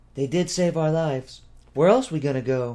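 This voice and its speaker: A loud, put-on character voice from a man, fairly high-pitched with lively intonation. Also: moderate pace. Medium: read story. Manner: loud, dramatic.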